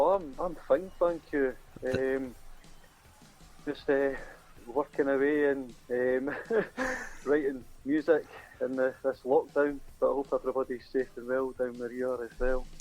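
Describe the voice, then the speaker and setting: Someone talks at a fairly slow pace in a Scottish accent, with fairly even intonation and long, frequent pauses. Music plays in the background. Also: man, medium pitch for a man. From Scotland. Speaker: singer-songwriter. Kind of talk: interview.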